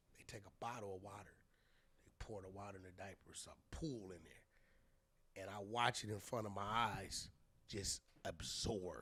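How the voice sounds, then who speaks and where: A man's bright, sharp voice holds fairly even intonation while his loudness swings widely. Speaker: artist manager and entrepreneur. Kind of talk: casual chat. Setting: studio. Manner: fast.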